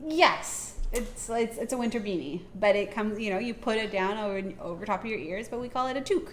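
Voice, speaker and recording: A woman with a fairly high pitch talks fairly quickly with hardly any pauses in an ordinary speaking voice, her pitch varying in an ordinary way. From Canada. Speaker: podcast co-host and marketing consultant. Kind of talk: casual chat.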